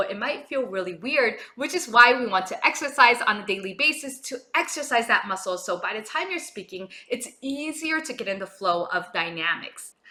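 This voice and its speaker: With hardly any pauses, a woman talks at a fairly quick pace in a high pitch with very wide pitch swings and big swings in loudness, over noticeable background noise. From Japan. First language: Japanese. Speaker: vocal coach. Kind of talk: tutorial.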